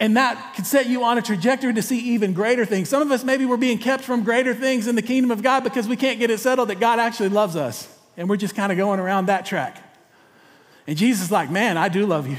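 A man's extremely high pitch in a Texan accent, at a very fast pace with ordinary pitch variation. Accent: Texan Southern US. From East Texas. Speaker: pastor. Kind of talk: sermon. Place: church. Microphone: headset.

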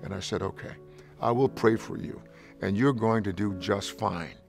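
Faint music plays in the background as a man talks at a fairly low pitch with ordinary pitch variation. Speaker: pastor. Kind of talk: interview answer. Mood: warm, earnest. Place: studio. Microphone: lapel.

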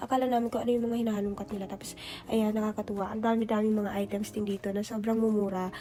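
Over noticeable background noise, a woman talks very fast at a fairly high pitch. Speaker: overseas worker vlogger. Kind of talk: vlog narration. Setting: thrift store. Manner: animated.

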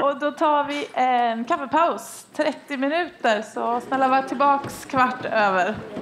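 A woman talks at a very slow pace with hardly any pauses, using a high pitch and ordinary pitch variation over light background noise. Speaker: event moderator. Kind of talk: event announcements. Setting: stage with audience. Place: stage. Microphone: headset.

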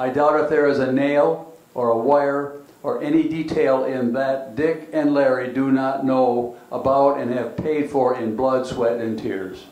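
At a fairly slow pace, a man speaks with medium pitch and fairly even intonation. Room echo is audible. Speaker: panelist. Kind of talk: reading aloud historical remarks. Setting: community center with audience. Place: hall. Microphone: handheld.

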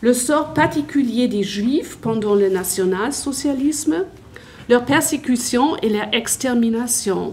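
A woman with a German accent, high-pitched and lively in intonation, at a very slow pace over light background noise. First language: German (speaking French). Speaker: history teacher and academic; history teacher. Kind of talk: conference talk. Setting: conference with audience. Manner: halting. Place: hall. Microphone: handheld.

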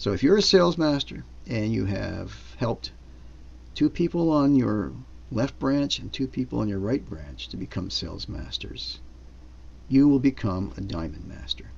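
Talking at a moderate pace with long, frequent pauses, a man shows vocal fry and very wide pitch swings. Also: fairly low pitch for a man. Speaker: business seminar presenter. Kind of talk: sales pitch at a business seminar. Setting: live seminar with slides. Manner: upbeat, persuasive pitchman, walking through bonuses and payouts; fluent, explanatory, with frequent fillers.

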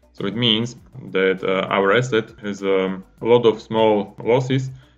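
Faint music plays in the background. Over it, a man speaks at a fairly low pitch with fairly even intonation. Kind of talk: lecture. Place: home room. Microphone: webcam.

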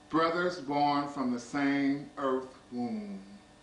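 Amid light background noise and audible room echo, a man with a fairly high pitch talks at a very slow pace with ordinary pitch variation. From US. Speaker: poetry reader. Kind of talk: poetry reading, measured and intimate, read aloud from an anthology. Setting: small private gathering of friends. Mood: calm, tender, measured. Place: home room. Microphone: old recording.

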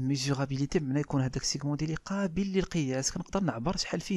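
Speaking at a very fast pace, a man with a dark, mellow tone uses lively intonation, captured in a very clean recording with a silent background. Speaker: marketing teacher. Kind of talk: lecture. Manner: reads French definitions then explains in Darija.

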